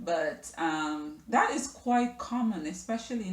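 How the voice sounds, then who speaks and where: A woman speaks at a fairly slow pace in a somewhat breathy voice. Her pitch swings very widely. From Jamaica, Kingston. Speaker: lifestyle vlogger. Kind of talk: personal storytelling vlog. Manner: hesitant, many fillers.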